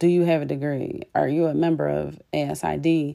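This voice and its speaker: In a dark, mellow tone, a woman talks with an American accent. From Philadelphia. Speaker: interior designer and podcast host. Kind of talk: solo podcast monologue. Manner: casual, with fillers.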